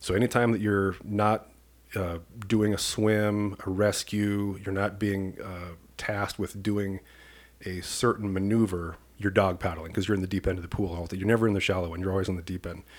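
A man speaks with an American accent at a moderate pace. His fairly low voice is monotone and flat. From US Midwest, rural Iowa. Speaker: police commander. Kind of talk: casual interview.

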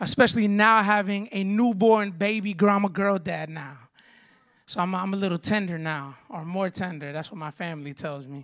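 A woman at a medium pitch with an animated tone, moderate pace, ordinary pitch variation and big swings in loudness, on a very clean recording with a silent background. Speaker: guest preacher. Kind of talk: sermon. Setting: church with congregation.

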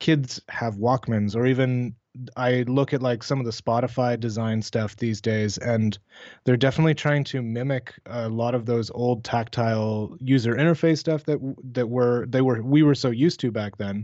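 Here a man talks in a Canadian accent at a moderate pace. His pitch is medium and his intonation fairly even. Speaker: illustrator and beer label artist. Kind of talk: casual chat. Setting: remote call. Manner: laid back.

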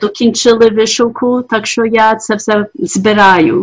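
A woman's fairly high voice, showing ordinary pitch variation, unfolds at a fairly slow pace. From US, Ukrainian diaspora family. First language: English (dominant), Ukrainian heritage (speaking Ukrainian). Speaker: artist. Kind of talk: interview. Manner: halting.

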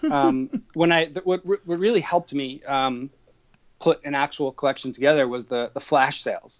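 A man's unremarkable speaking voice, with ordinary pitch variation and a moderate pace. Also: fairly high pitch for a man. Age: 30s. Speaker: toy collector. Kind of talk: interview.

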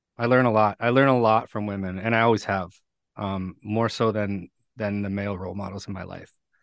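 A man's fairly low voice at a fairly quick pace, with big swings in loudness, fairly even intonation and a quiet background. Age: 40s. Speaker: recovery speaker and firefighter. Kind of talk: interview. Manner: halting, many fillers and repetitions.

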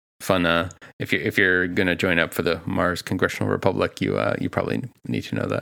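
A man with an American accent and a very deep, low pitch talks at a very fast pace with vocal fry, a bright, sharp tone and very wide pitch swings. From US Northeast, Boston. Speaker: podcast co-host. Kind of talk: casual chat. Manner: halting, many fillers.

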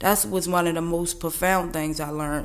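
There is audible room echo around a woman whose fairly low pitch shows ordinary pitch variation. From Baltimore. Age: 30s. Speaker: person in addiction recovery. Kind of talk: testimony.

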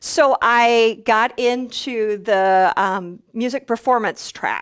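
A woman with an American accent speaks at a high pitch with lively intonation. The recording is very clean, with a silent background. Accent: slight Minnesota accent, general American. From US Minnesota. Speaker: radio news anchor. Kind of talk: casual interview chat. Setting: live video stream.

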